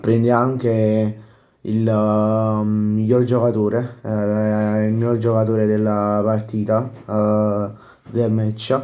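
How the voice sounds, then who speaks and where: A man speaks at a very slow pace in a dark, mellow tone. His intonation is monotone and flat, and his loudness stays very even. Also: fairly low pitch for a man. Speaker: football YouTuber. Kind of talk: casual post-match commentary. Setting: home at night, others sleeping. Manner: speaking quietly, softer than usual; halting, many fillers.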